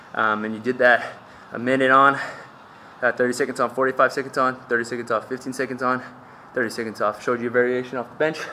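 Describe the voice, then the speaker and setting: A man talks at a very fast pace in a monotone, flat intonation, with light background noise. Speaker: fitness coach. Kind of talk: workout tutorial recap. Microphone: phone near.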